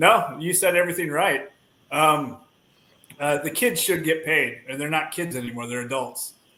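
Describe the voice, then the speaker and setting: A man talks at a moderate pace in a fairly high voice with ordinary pitch variation. Audible echo fills the room. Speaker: podcast guest, dad. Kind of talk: casual chat.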